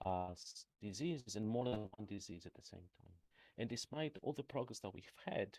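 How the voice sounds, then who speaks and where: Speaking with a Greek accent, a man uses a fairly low pitch, lively intonation and big swings in loudness at a moderate pace, the sound dry and close with no echo. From Greece. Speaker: professor. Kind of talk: lecture. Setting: remote talk. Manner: halting, many fillers.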